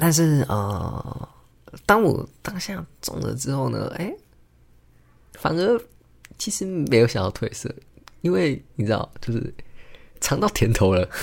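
A man speaks at a medium pitch with very wide pitch swings. His pace is fairly slow, with long, frequent pauses. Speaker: podcast host, engineer and amateur stand-up comedian. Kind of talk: solo casual monologue. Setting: home recording, alone at a microphone. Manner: hesitant, many filler words.

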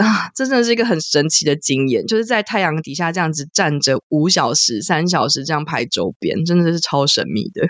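Animated in tone, this voice moves at a fairly quick pace with very wide pitch swings and hardly any pauses. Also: woman, fairly low pitch for a woman. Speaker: podcast co-host. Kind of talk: casual chat.

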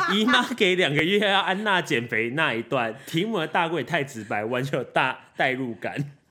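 Loud and with hardly any pauses, a man speaks at a fairly high pitch. His voice makes very wide pitch swings over noticeable background noise. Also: moderate pace. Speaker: podcast co-host. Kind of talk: casual chat. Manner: energetic.

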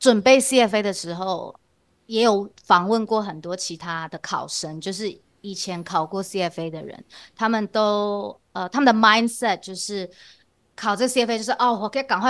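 Over a quiet background, a woman speaks at medium pitch. Her pitch varies in an ordinary way. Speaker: CFA candidate and university teaching assistant. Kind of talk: interview. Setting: remote video recording.

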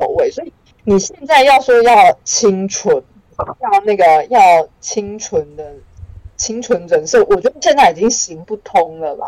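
A woman speaks at a fairly slow pace. Her fairly high pitch swings very widely. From Taiwan, Changhua. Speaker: comedian and writer. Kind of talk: casual interview.

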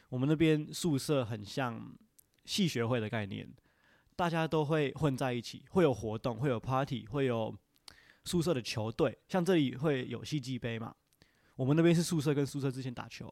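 With a Taiwanese accent, a man at medium pitch speaks at a moderate pace with ordinary pitch variation in a very clean recording with a silent background. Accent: Taiwanese Mandarin. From Taiwan (Indian family, since age 3). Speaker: podcast guest. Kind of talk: casual chat.

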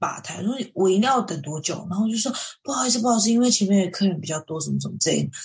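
The speech moves at a very fast pace. There are hardly any pauses. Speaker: podcast co-host. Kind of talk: casual chat. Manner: animated.

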